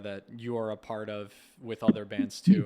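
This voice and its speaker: A man with an American accent talks at a moderate pace and medium pitch, in an ordinary speaking voice. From USA. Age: 30s. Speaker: interviewer. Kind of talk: interview.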